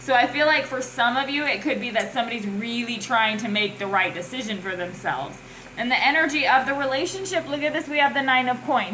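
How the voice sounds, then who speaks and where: Amid audible room echo and noticeable background noise, a woman talks at a very fast pace in an animated tone, her high-pitched voice full of lively intonation. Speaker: tarot reader. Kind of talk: tarot reading monologue. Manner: halting.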